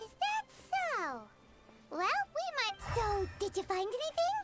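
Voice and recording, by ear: In a squeaky, cartoonish character voice pitched extremely high, the speaker goes at a fairly slow pace over background music.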